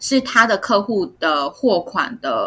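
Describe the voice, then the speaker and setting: Lively intonation in a woman's bright, sharp tone. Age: 30s. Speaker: podcast co-host. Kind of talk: casual chat.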